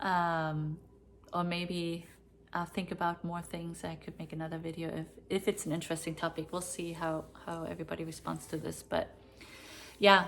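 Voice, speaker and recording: This speaker has a German accent and a monotone, flat intonation. The pace is moderate, broken by long, frequent pauses. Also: woman, fairly low pitch for a woman. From East Berlin, Germany. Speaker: vlogger. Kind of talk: personal storytelling. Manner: hesitant, filler-heavy.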